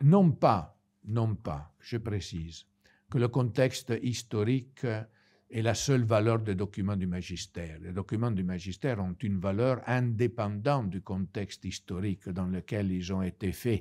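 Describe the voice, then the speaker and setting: A dark, mellow tone in an Italian accent, at a fairly slow pace with ordinary pitch variation. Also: man, fairly low pitch for a man. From Italy. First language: Italian (speaking French). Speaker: priest. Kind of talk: lecture. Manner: halting.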